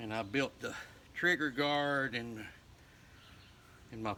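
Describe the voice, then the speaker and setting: Speaking very slowly in a rural Southern US accent, a man has a bright, sharp tone and ordinary pitch variation. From US South, northeast Alabama. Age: 60s. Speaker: folk craftsman and fiddler. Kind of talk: casual show-and-tell interview.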